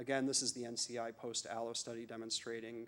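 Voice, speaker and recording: A man speaks at a fairly quick pace in a medium pitch. His intonation stays monotone and flat. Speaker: physician researcher giving a conference talk. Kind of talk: conference lecture. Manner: fast.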